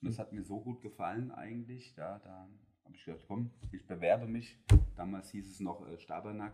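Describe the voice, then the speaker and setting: The tone is dark and mellow, with big swings in loudness. Intonation stays fairly even at a moderate pace. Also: man, fairly low pitch for a man. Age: 40s. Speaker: production manager at a packaging plant. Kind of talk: interview conversation. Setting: on site at the company.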